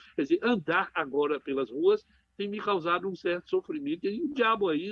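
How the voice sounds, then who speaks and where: Lively intonation and a moderate pace from a man with a high pitch. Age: 70s. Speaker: psychiatrist and professor. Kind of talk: radio interview.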